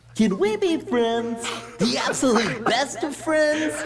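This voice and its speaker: Someone uses a put-on character voice with a fairly high pitch at a fairly slow pace. Clear background noise can be heard. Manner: friendly, eager, pleading.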